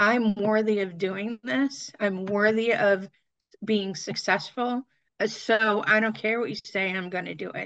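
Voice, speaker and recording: A woman's medium-pitched voice, a plain, everyday voice, at a fairly slow pace with fairly even intonation. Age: 50s. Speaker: fitness content creator. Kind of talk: casual chat.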